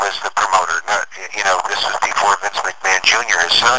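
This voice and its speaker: Noticeable background noise sits behind a man with an American accent. He speaks at a moderate pace. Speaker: public address announcer. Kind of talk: interview answer. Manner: casual, conversational, some hesitations.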